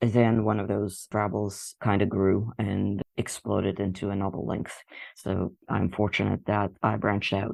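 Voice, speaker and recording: The man's voice sits at a fairly low pitch, with vocal fry. He talks at a fairly slow pace in monotone, flat intonation. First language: not English. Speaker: fan fiction author and artist. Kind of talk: interview.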